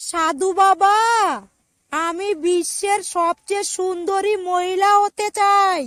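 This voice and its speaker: In a cartoonish character voice at an extremely high pitch, a woman speaks at a very slow pace, the sound dry and close with no echo. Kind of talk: cartoon comedy.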